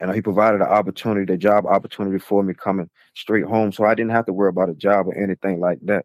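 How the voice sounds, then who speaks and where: Speaking very fast with hardly any pauses, a man with an American accent keeps a flat, monotone delivery at a fairly low pitch. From Chesapeake, Virginia. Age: 40s. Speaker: former prisoner. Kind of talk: casual interview. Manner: halting.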